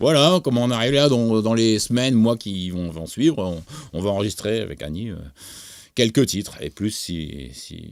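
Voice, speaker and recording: On a very clean recording with a silent background, a man with a fairly low pitch speaks at a moderate pace, his intonation lively and his loudness swinging widely. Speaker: music producer and songwriter. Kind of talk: interview. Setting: studio. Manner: halting, many hesitations.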